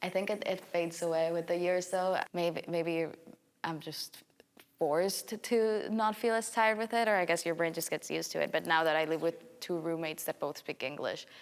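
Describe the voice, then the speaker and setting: A woman speaks in a Spanish accent with a fairly low pitch. She keeps a moderate pace and ordinary pitch variation. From El Salvador. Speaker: university student. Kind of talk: casual chat.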